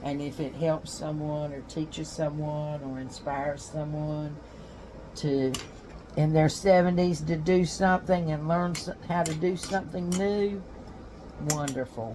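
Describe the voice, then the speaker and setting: A woman with a North Carolina accent speaks at a fairly slow pace in a very deep, low pitch, her intonation fairly even, with audible room echo. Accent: Southern US (North Carolina). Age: 70s. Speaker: homesteading vlogger, retired history teacher. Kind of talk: casual vlog talk.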